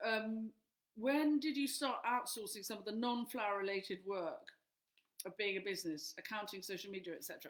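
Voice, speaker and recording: In an English accent, a woman speaks with lively intonation. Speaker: flower farmer and author. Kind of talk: live Q&A answering questions. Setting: live stream.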